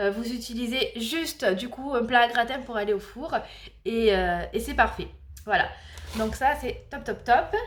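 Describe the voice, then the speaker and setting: At a moderate pace, a high-pitched woman talks with ordinary pitch variation amid audible room echo and noticeable background noise. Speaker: family vlogger. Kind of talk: casual vlog. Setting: home kitchen.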